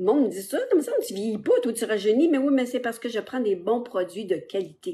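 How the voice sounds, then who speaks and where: A woman speaks in a dark, mellow tone at a fairly high pitch. Her intonation is lively. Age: 60s. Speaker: social media seller. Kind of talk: live stream sales pitch. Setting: live stream on TikTok and Facebook. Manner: casual, hesitant with many fillers.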